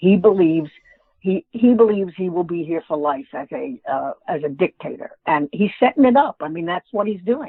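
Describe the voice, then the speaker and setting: A woman with an American accent talks at a moderate pace in a medium pitch. Her pitch swings very widely and her loudness rises and falls a lot. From New York. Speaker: author and humorist. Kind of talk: interview.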